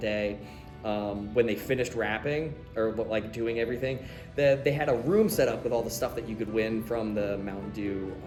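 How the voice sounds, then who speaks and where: A man's medium-pitched voice at a moderate pace, ordinary pitch variation, music in the background. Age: 30s. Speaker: nurse. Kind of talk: interview answer. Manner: casual.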